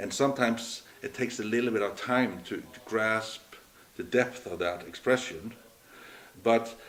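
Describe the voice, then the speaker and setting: This man talks at a fairly quick pace in a medium pitch, with a slight Norwegian accent. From Norway. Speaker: entrepreneur. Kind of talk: interview. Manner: halting.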